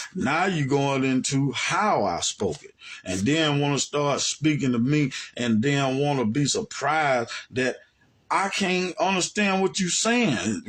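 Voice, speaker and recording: A man with an American accent talks at a fairly slow pace in a fairly high pitch, his voice making very wide pitch swings. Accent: Southern US (others pick at it). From US South, Alabama. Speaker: religious teacher. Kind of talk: monologue commentary. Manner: animated.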